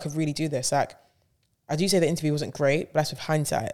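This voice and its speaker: This woman talks very fast in a London accent, her pitch very deep and low and her intonation flat and monotone. The recording is very clean with a silent background. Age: 20s. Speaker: DJ and radio presenter. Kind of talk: casual chat.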